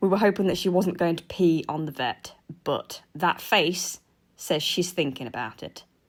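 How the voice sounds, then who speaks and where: A woman in an English accent talks at a moderate pace, her fairly low pitch showing ordinary variation. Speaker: guinea pig keeper and vlogger. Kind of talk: vlog narration. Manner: animated.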